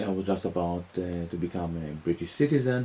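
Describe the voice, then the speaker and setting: Lively intonation marks this man's speech, delivered at a moderate pace. His tone is dark and mellow. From Israel. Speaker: musician and author. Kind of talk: interview. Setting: interviewer's home. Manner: hesitant, many fillers.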